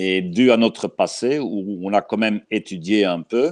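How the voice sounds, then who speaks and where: Against a quiet background, a man with a fairly low pitch speaks with a Belgian accent. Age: 60s. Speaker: dog trainer. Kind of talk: interview. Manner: slow.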